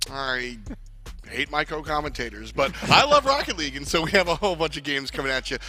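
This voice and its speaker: A man with an American accent talks at a very fast pace while music plays in the background. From New York. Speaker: esports commentator. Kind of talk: live commentary. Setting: studio. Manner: animated.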